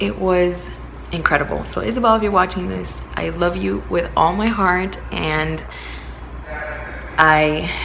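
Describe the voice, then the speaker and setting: With audible room echo and noticeable background noise, a woman speaks at a fairly slow pace with long, frequent pauses. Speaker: vlogger. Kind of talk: casual vlog talk. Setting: at a partner's new home. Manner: lowered voice, quieter; halting, filler words.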